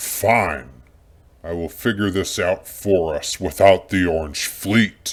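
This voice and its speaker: At a fairly slow pace, a man performs a put-on character voice pitched fairly low. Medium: audio drama. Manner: commanding, impatient.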